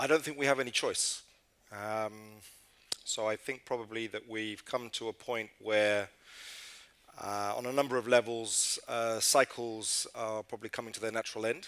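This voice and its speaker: A man with a British accent at a medium pitch and moderate pace, monotone, flat intonation and big swings in loudness. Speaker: international organization communications director. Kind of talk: panel discussion.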